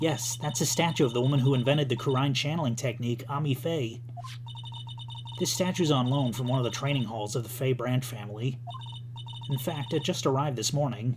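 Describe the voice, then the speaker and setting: Over loud background noise, a put-on character voice with a low-to-middle pitch rattles along at a fairly quick pace. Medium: virtual streamer. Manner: energetic, chatty.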